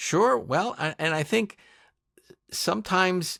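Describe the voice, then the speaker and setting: The man's voice sounds dry and close with no echo, on a very clean recording with a silent background. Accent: American. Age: 60s. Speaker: podcast producer and co-host. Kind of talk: casual interview chat.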